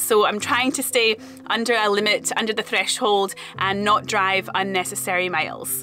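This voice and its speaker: Faint music sits in the background. A woman talks over it at a moderate pace. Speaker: travel vlogger. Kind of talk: casual vlog chat. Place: car. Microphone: phone near.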